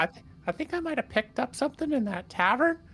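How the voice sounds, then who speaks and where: A put-on character voice races along at a very fast pace with very wide pitch swings. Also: woman, high pitch for a woman. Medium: actual play.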